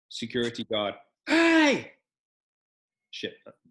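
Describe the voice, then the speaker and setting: A man speaks with a British accent. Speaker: real estate agent and podcast co-host. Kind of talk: casual anecdote.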